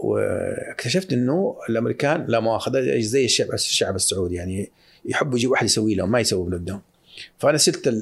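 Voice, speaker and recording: Speaking at a fairly quick pace, someone uses lively intonation in a somewhat breathy voice. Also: man. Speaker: investment firm founder. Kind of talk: casual interview. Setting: studio. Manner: mixes English phrases into Arabic.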